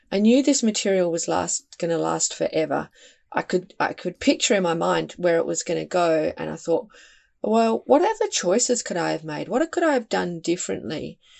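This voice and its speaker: Australian accent from a woman, the pace moderate. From Western Australia. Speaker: environmental campaign founder and author. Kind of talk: interview conversation.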